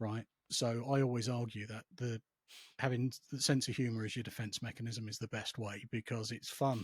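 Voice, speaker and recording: With an English accent, a man speaks at a moderate pace and medium pitch in a somewhat breathy voice with monotone, flat intonation, captured in a very clean recording with a silent background and a dry, close sound with no echo. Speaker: psychotherapist and former RAF and police officer. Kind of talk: casual chat. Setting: podcast. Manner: calm.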